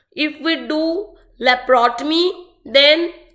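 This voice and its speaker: Audible room echo surrounds a woman's voice. Her tone is bright and sharp, and her intonation fairly even. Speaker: medical exam tutor. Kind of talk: online lecture.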